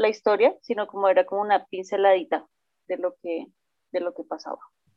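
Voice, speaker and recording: Using a plain, everyday voice, a woman speaks at a medium pitch with fairly even intonation. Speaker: podcast co-host. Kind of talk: casual podcast discussion; reading aloud.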